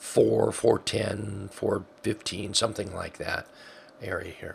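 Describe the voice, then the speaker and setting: A man speaks at a fairly slow pace. He is soft-spoken. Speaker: stock trading educator. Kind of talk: trading chart tutorial.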